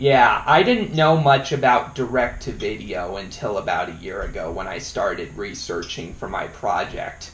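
The voice moves at a fairly slow pace, with audible room echo. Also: man. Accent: American. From Colorado. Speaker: YouTube interviewer. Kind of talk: casual interview.

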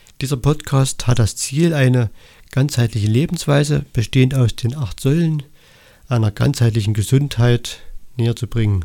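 With a dark, mellow tone, medium pitch and ordinary pitch variation, a man talks at a moderate pace on a very clean recording with a silent background. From Saxony, Erzgebirge (eastern Germany). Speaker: holistic health coach, podcaster. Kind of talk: solo podcast monologue. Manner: somewhat halting, with repetitions and fillers.

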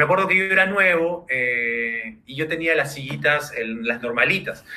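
A man talks at a moderate pace with a fairly high pitch and lively intonation over noticeable background noise. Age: 30s. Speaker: startup founder. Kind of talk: interview. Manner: halting.

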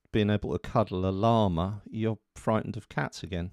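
A man with an ordinary speaking voice talks at a fairly low pitch, recorded dry and close with no echo on a very clean, silent background. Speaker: meditation teacher. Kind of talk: guided meditation; lecture. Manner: slow, calm and soothing, with gentle pauses; soft-spoken.

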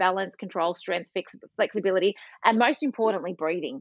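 Pitch varies in an ordinary way in this voice with an Australian accent. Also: woman. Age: 40s. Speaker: Pilates instructor and behavioural therapist. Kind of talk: casual chat.

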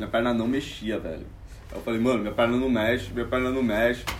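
Room echo is audible as a man speaks fairly quickly at a medium pitch. His intonation is flat and monotone. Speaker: comedian. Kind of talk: casual chat. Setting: at home.

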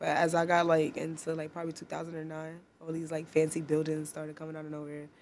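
Very fast and monotone, a woman speaks with flat intonation, very deep, low pitch and big swings in loudness. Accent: New York. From Harlem, New York. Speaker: photographer. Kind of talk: casual chat.

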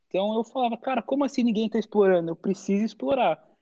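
With a Brazilian accent, a man talks at a fairly quick pace and with ordinary pitch variation. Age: 20s. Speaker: college esports athlete and content creator. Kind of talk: casual interview.

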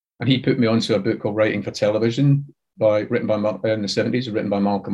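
A man speaks with a Glaswegian accent. His pitch is fairly low. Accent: Glaswegian Scottish. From Scotland, Glasgow. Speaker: TV and audio drama writer. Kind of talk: interview.

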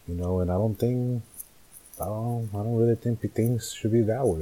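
A man talks with ordinary pitch variation. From Northern California. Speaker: podcaster. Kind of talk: casual monologue, solo podcast. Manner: casual, hesitant, filler words; candid, profane.

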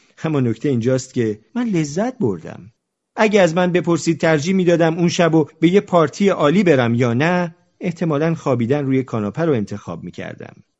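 Fairly quick speech from a man with a plain, everyday voice, a fairly high pitch and lively intonation. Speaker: audiobook narrator and podcaster. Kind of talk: reading aloud. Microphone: recording on a phone, voice recorder broke.

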